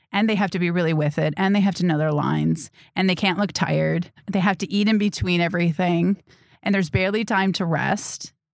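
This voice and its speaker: A woman's unremarkable speaking voice, fairly low in pitch, at a fairly quick pace with fairly even intonation and very even loudness, on a very clean recording with a silent background. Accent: American. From Wisconsin, Milwaukee suburbs. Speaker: filmmaker and actor. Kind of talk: interview. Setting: studio.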